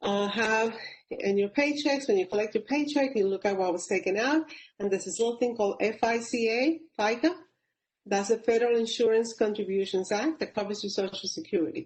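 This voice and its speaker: Fairly quick and somewhat breathy, a woman talks at a fairly high pitch in a Puerto Rican accent. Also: ordinary pitch variation. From Puerto Rico, Caguas. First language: Spanish. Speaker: public service leader, panelist. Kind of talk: webinar panel talk. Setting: webinar.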